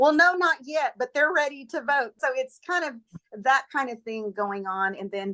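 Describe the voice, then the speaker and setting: Her voice raised and projected, a woman speaks at a high pitch and moderate pace with a bright, sharp tone and lively intonation. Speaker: educator and former political candidate. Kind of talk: interview.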